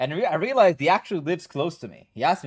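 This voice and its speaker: In a very clean recording with a silent background, a man with an Israeli accent speaks at a very fast pace with very wide pitch swings. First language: Hebrew. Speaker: gaming streamer and coach. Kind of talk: casual live stream chat.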